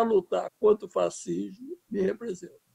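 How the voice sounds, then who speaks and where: A man speaks in a dry, close sound with no echo. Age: 70s. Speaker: filmmaker. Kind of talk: interview. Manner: halting.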